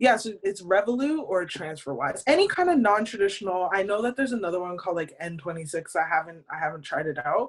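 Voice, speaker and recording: With a Canadian accent, a woman talks very fast and with lively intonation, her medium-pitched voice running on with hardly any pauses. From Canada. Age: 30s. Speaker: podcast co-host. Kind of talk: casual chat.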